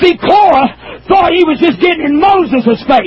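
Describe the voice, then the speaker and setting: An extremely high-pitched man's voice at a fairly slow pace, with ordinary pitch variation, against noticeable background noise. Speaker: preacher. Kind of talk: sermon. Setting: church pulpit with youth audience.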